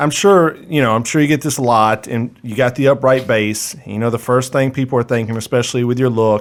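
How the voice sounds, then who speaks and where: An unremarkable speaking voice from a man, medium in pitch with ordinary variation, fairly quick and with hardly any pauses. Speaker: podcast host. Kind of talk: podcast interview questions.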